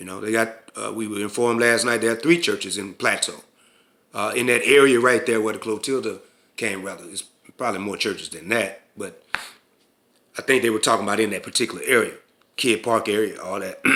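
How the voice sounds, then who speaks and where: A man with a medium pitch talks at a fairly quick pace in a bright, sharp tone, his loudness swinging widely while his intonation stays fairly even. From US South, Mobile, Alabama. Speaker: spiritual and community leader. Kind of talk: casual talk to camera. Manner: halting, many fillers and restarts.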